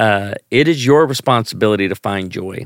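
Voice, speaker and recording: A man's ordinary speaking voice with lively intonation at a moderate pace, dry and close with no echo, on a very clean recording with a silent background. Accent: American. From US Midwest, Northern Illinois (Chicago). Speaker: pastor and comedian. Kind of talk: casual interview.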